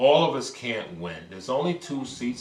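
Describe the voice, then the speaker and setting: With an American accent, a man speaks at a moderate pace, his pitch swinging very widely, and audible room echo surrounds him. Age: 50s. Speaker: politician, former mayor. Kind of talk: interview. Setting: stage. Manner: animated.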